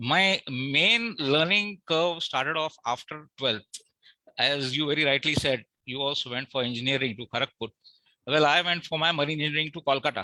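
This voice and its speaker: A man with a Marathi accent speaks at a moderate pace, his pitch fairly high with ordinary variation. The tone is bright and sharp, and the sound is dry and close with no echo. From Mumbai, India. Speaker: award recipient, marine engineer. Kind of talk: acceptance speech. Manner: halting.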